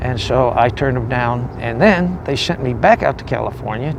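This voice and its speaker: Over noticeable background noise and audible room echo, a man speaks at a moderate pace. His medium-pitched voice shows ordinary pitch variation. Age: 60s. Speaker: homeless war veteran. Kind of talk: testimony. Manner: halting.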